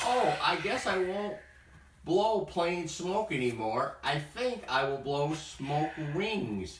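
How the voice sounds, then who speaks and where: Very slowly, a man speaks in a put-on character voice with a high pitch and a slight echo. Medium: read story. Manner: excited, eager.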